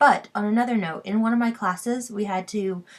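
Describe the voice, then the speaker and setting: The woman has a somewhat breathy voice of medium pitch. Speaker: vlogger. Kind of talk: casual vlog monologue. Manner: hesitant, many fillers; fast, rising pitch when stressed.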